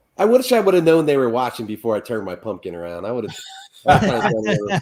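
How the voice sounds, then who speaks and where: Speaking at a very fast pace with a slight Midwestern accent, a man's voice shows very wide pitch swings and big swings in loudness. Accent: slight Midwestern country twang. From Ohio, US Midwest. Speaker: pumpkin carver. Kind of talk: casual chat.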